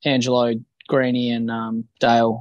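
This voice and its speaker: A man speaks with an Australian accent at a medium pitch. The sound is dry and close, with no echo. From Western Australia, Bunbury. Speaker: professional boxer. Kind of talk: interview.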